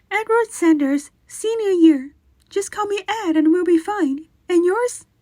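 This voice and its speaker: Using a put-on character voice, a woman speaks in a squeaky, extremely high pitch at a fairly slow pace with ordinary pitch variation. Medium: audio drama. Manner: blunt, confident.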